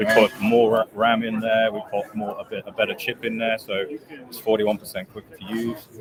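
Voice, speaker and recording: A man with a British accent talks at a moderate pace and medium pitch, with hardly any pauses and fairly even intonation. His loudness swings a lot, and background noise is noticeable. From England. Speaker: company executive. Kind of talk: product pitch in interview. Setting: trade show booth.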